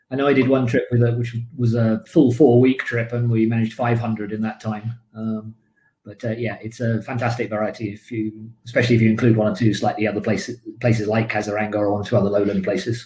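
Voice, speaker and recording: Speaking at a very fast pace with a British accent, a man uses a medium pitch, a dark, mellow tone, somewhat breathy delivery and monotone, flat intonation. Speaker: birding tour leader. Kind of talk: live online talk Q&A.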